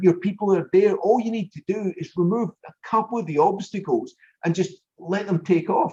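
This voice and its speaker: A man speaks with a high pitch. His tone is dark and mellow. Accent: Scottish. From Scotland. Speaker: business consultant and show host. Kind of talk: interview conversation.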